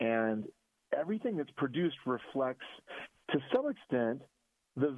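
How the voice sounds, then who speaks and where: A man's voice with lively intonation. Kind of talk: radio commentary.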